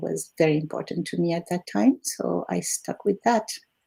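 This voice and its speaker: Speaking at a moderate pace, this voice has a dark, mellow tone with vocal fry, recorded with a dry, close sound and no echo. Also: woman. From Algeria. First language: Arabic and French. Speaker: retired language teacher. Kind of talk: interview. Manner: hesitant with fillers.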